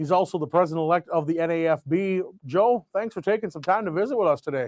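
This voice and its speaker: The recording is very clean, dry and close with no echo and a silent background. A man speaks at a high pitch in a Minnesotan accent with ordinary pitch variation. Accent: Minnesota. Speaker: farm radio broadcaster. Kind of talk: radio weather and farm news broadcast. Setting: radio studio.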